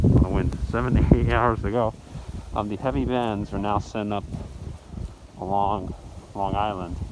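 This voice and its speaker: Amid noticeable background noise, a man with a fairly low pitch speaks at a moderate pace with lively intonation and long, frequent pauses. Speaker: weather vlogger. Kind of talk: outdoor weather update vlog. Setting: outdoors in a blizzard.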